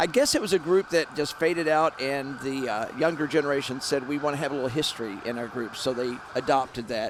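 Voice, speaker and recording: A man's fairly high voice at a fairly quick pace, with ordinary pitch variation and noticeable background noise. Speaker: TV parade commentator. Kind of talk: live commentary. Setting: broadcast balcony outdoors.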